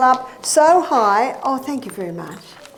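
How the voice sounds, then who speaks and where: A high-pitched woman in an Australian accent at a moderate pace, with noticeable background noise and audible room echo. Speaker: nutritionist and health educator. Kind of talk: lecture.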